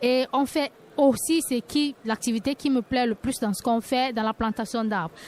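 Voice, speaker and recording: In an unremarkable speaking voice, a woman speaks at a fairly slow pace with fairly even intonation, the sound dry and close with no echo. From Cameroon. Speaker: cooperative co-founder, environmental activist. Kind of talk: radio panel discussion. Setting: live radio set at a forum.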